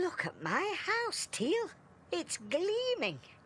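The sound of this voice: A cartoonish character voice with extremely high pitch speaks at a very slow pace. Background noise is clearly audible.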